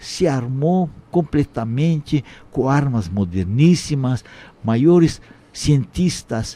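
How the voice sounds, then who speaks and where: A very slow man with a dark, mellow tone, lively intonation and a non-native accent. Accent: foreign accent in Portuguese. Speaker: Holocaust survivor. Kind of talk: testimony. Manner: halting.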